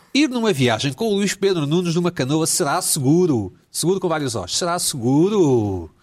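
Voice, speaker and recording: Animated in tone and lively in intonation, a man with a fairly high pitch talks at a moderate pace with hardly any pauses. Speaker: talk show host. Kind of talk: comedy panel chat. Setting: video call.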